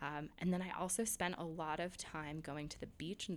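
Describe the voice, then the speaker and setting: In an unremarkable speaking voice, a woman talks at a moderate pace. Her pitch is fairly low. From New York, outside the city. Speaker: speech pathologist turned real estate agent. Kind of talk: casual interview chat.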